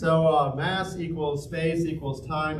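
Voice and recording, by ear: Audible room echo surrounds this man's voice. He speaks at a fairly high pitch and a fairly slow pace.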